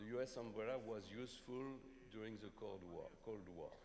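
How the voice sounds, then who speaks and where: A man talks at a moderate pace with a fairly low pitch. Audible room echo surrounds his voice. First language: not English. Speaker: panelist at economic forum. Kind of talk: panel discussion. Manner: halting.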